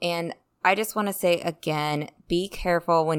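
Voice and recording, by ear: A woman at a moderate pace, her tone clear, smooth and fairly bright, with ordinary pitch variation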